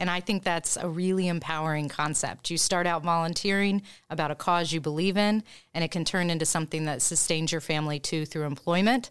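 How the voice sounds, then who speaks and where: On a very clean recording with a silent background, a woman with an American accent and an ordinary speaking voice talks in a fairly low pitch with fairly even intonation. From Indiana. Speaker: nonprofit executive director. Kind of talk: interview.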